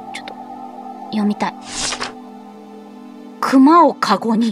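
A Tosa accent over noticeable background noise. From Kochi, Japan. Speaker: VTuber. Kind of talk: horror game let's play. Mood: cheerful, playful, apologetic.

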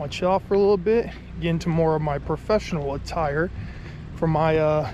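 Moderate pace from a man, with a dry sound with no echo and noticeable background noise. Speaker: student vlogger. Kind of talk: casual vlog chat. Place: street. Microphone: phone near.

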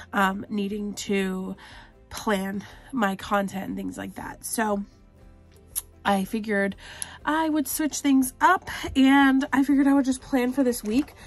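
Faint music plays in the background as a woman speaks at a moderate pace with ordinary pitch variation. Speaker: planner vlogger. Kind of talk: casual vlog chat.

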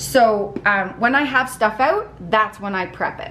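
A woman speaks at a medium pitch with a bright, sharp tone and ordinary pitch variation. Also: fairly slow pace.

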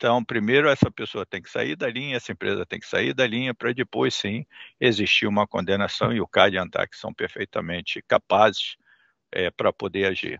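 Against a quiet background, a man speaks at a moderate pace with big swings in loudness, the sound dry with no echo. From Brazil. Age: 60s. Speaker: shipping terminal investment executive. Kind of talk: interview; interview answer. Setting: video call. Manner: halting, many fillers. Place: office. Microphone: headset.

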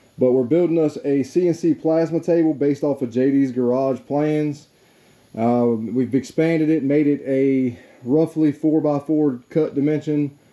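Against music in the background, a man talks with fairly even intonation. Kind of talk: casual tutorial vlog. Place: garage. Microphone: phone near.

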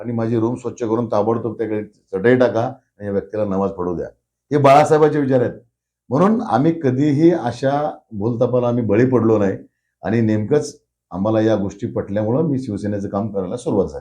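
Set against a quiet background, a man's dark, mellow voice sits at medium pitch with ordinary pitch variation. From Marathwada, Maharashtra (Dharashiv district). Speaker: local politician. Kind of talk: interview.

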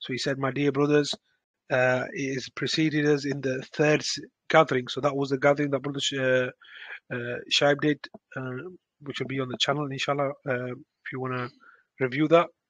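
A man speaks in a monotone, flat voice at a moderate pace, the sound dry with no echo and the background quiet. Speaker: religious lesson teacher. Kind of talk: lecture. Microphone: video call.

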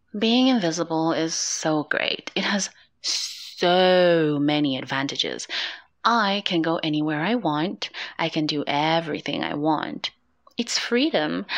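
A woman's very slow, playful delivery with lively intonation

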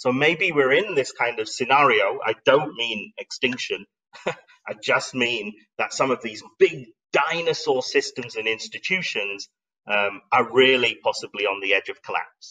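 A man speaks at a medium pitch with ordinary pitch variation. His tone is bright and sharp, carrying a slightly husky edge. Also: fairly slow pace.

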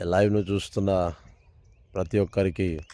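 This man's voice sits at a very deep, low pitch. His tone is dark and mellow. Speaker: preacher. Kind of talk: sermon with Telugu-English code-mixing, ending in a closing prayer; fervent prayer, spoken in a loud, intense, pleading tone. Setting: live stream. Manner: animated, fervent, repeats phrases for emphasis; intense, declaring and commanding.

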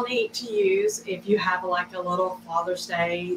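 The intonation stays fairly even, with audible room echo and light background noise. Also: woman. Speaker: craft host. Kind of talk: casual live stream tutorial. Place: studio. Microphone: camera far.

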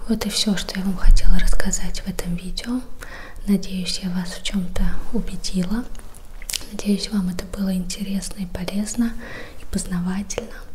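A quiet woman speaks at a moderate pace in a gentle tone with flat, monotone intonation and long, frequent pauses over light background noise. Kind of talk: educational talk. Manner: gentle, quiet ASMR sign-off. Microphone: studio mic.

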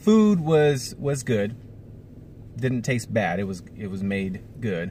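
A man talks at a fairly slow pace, somewhat breathy, with very wide pitch swings. The sound is dry with no echo, over light background noise. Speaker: family vlogger. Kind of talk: casual vlog chat. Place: car. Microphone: phone near.

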